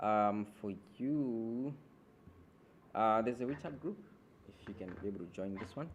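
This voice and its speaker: At a moderate pace and medium pitch, a man speaks with long, frequent pauses amid audible room echo. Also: ordinary pitch variation. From Malawi. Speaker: graduate student teaching a programming workshop. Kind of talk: workshop lecture. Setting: classroom with online participants.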